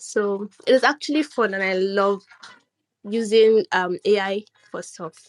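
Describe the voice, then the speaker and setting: With a non-native accent, a woman talks at a moderate pace and a fairly high pitch, in a dry, close sound with no echo. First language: not English. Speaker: artist. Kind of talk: casual chat. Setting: online audio room. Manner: halting.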